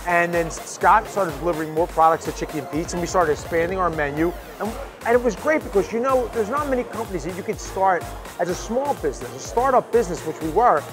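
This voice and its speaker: Over clear background music, a man speaks very fast at a high pitch. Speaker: restaurant owner. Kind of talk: interview answer. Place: bar. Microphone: lapel.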